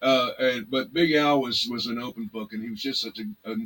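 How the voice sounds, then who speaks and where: Here is a man with a Texan accent. His voice sits at a medium pitch. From Texas, Arlington / Fort Worth area. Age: 60s. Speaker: blues musician. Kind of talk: casual interview chat. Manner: halting, many fillers and restarts.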